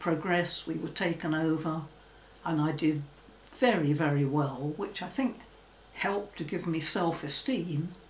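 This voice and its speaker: Over light background noise and audible room echo, a woman with a fairly low voice speaks at a fairly slow pace with ordinary pitch variation. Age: 80s+. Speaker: former secretary. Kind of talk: interview answer. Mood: reflective, calm. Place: home room.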